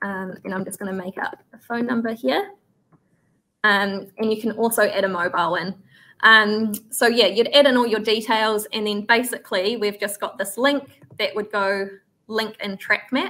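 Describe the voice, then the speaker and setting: Speaking at a moderate pace with a New Zealand accent, a woman has a bright, sharp tone, a fairly high pitch and fairly even intonation. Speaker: farm software trainer. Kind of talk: software tutorial webinar. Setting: online webinar.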